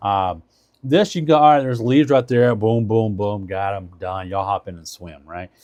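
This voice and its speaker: A man speaks in a fairly low voice with lively intonation. His loudness swings widely from moment to moment. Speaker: product reviewer and live streamer. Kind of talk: live stream product review. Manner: fast; casual, filler-heavy.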